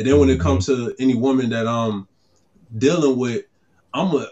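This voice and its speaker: A man's fairly quick speech at medium pitch, a normal speaking voice. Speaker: podcast co-host, father. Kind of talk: casual chat.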